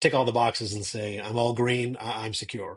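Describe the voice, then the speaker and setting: A man speaks at a fairly quick pace in a medium pitch. His voice is somewhat breathy. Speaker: cyber security strategist. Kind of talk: interview.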